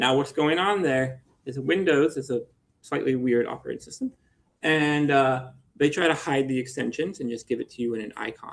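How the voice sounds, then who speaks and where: The man's pitch is fairly high. His intonation stays fairly even. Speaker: engineering lecturer. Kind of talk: lecture. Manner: fast.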